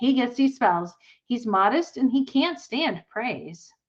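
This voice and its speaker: A loud put-on character voice at a fairly slow pace. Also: woman, high pitch for a woman. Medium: read story. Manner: loud, hollering.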